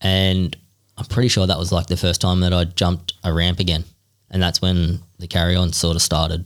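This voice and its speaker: The speaker has an Australian accent and a monotone, flat intonation at a moderate pace. The recording is very clean with a silent background. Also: man, very deep, low pitch for a man. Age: 30s. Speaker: freestyle motocross rider. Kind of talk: casual chat.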